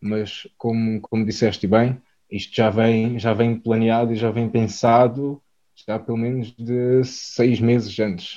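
A man at medium pitch speaks very slowly in a dark, mellow tone with monotone, flat intonation. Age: 20s. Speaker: food business co-founder. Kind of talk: interview. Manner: halting, frequent word repetitions.

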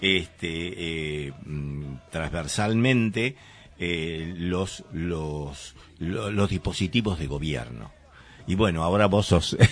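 A man's very deep, low voice at a very slow pace, with lively intonation and long, frequent pauses. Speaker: community radio host. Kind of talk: casual chat. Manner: halting, many fillers and repetitions.

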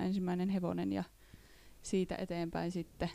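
At a moderate pace, a woman speaks in a medium pitch with a dark, mellow tone. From Northern Ostrobothnia, Finland (Reisjärvi). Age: 20s. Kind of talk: casual chat.

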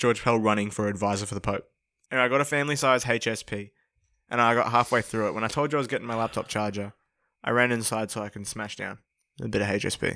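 A man with an Australian accent speaks very fast at a medium pitch, his tone bright and sharp. His intonation is fairly even, on a very clean recording with a silent background. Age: young. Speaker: podcast co-host. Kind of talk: casual chat.

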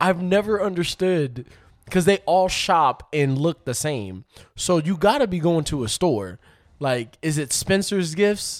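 A high-pitched man with lively intonation at a fairly slow pace, in a very clean recording with a silent background. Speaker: podcast guest. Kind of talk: casual chat. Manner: laughs often.

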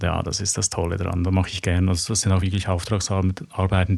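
In a very clean recording with a silent background, a man speaks with a very deep, low pitch, somewhat breathy, in a monotone, flat intonation. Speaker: graphic novel author and architect. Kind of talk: interview conversation. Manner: halting, searching for words.

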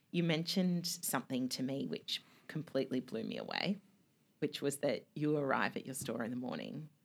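At a moderate pace, a woman talks with lively intonation in a very deep, low voice. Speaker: podcast host. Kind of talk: casual interview.

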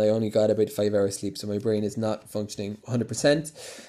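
Very cleanly recorded against a silent background, a man with a Cork accent talks at a fairly low pitch in a dark, mellow tone with fairly even intonation. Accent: Irish (Cork). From Ireland, Cork. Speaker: business ghostwriter. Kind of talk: solo podcast monologue. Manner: casual, hesitant with many fillers.

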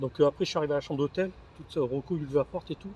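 A man's somewhat breathy voice races at a very fast pace, its intonation fairly even. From northern France, Lille. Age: 40s. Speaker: office worker sharing libertine lifestyle experiences. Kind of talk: casual chat over wine, storytelling. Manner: halting, repetitive.

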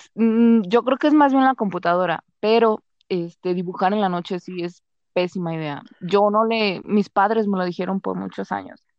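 A woman speaks at a medium pitch with a Mexican accent. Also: ordinary pitch variation, moderate pace. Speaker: accounting assistant. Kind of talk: casual chat.

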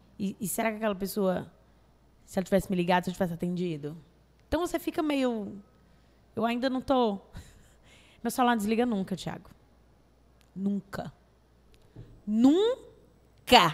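Speaking with a Cearense accent, a woman uses lively intonation and a medium pitch at a moderate pace, with long, frequent pauses. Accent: Cearense Brazilian Portuguese. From Brazil, Fortaleza (Ceará). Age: 30s. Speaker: actress and comedian. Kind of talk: casual chat. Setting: studio.

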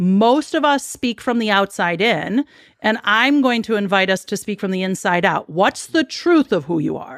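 On a very clean recording with a silent background and a dry, close sound with no echo, a woman speaks in an American accent. She has a medium pitch, very wide pitch swings and a moderate pace. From Chicago, US Midwest. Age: 40s. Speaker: spiritual guide and mentor. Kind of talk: interview.

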